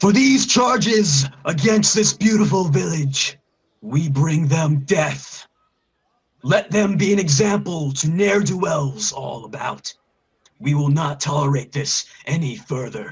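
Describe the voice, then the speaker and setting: Putting on a character voice, a man speaks fairly slowly at a fairly high pitch with lively intonation. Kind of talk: public proclamation. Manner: righteous, commanding.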